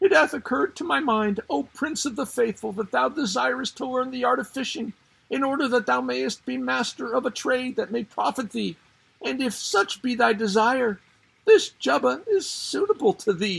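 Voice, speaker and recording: A put-on character voice comes at a moderate pace with a fairly high pitch. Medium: read story. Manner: humble, deferential.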